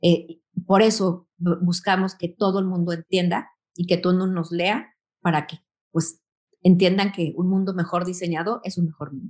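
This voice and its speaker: At a moderate pace, a woman with a Mexican accent speaks at fairly low pitch in a monotone, flat intonation. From Mexico. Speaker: magazine founder and editor. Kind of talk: interview.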